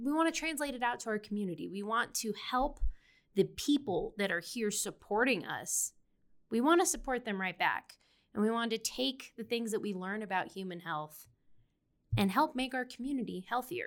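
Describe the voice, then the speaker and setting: Recorded very cleanly against a silent background, a woman with a plain, everyday voice and a fairly high pitch speaks at a moderate pace with lively intonation. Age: 20s. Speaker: PhD student. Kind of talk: interview.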